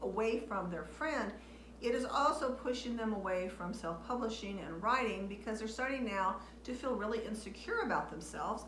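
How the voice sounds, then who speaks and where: With audible room echo and noticeable background noise, a woman speaks with ordinary pitch variation. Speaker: author and video blogger. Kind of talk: casual talk to camera. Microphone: waiting for new microphone, poor audio quality.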